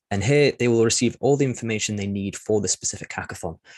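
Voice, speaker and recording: A man's medium pitch with ordinary pitch variation, at a very fast pace, in a dry, close sound with no echo. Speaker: platform staff presenting a demo. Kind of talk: webinar walkthrough. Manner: hesitant, many fillers.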